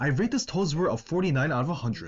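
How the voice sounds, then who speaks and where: Music plays in the background. A man speaks at a fairly high pitch. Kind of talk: video game commentary. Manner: own natural voice, not imitating the character.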